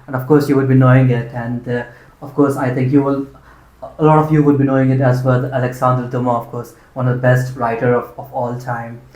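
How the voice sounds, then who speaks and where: A man with an Indian accent talks at a fairly quick pace in monotone, flat intonation. His voice is somewhat breathy, with audible room echo. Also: medium pitch for a man. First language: Hindi. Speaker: interviewer, channel host. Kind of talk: casual interview conversation. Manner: hesitant, many fillers.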